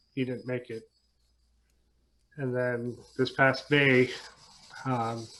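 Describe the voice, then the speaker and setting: At a very slow pace, a man speaks with monotone, flat intonation. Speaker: guitarist. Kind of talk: casual interview.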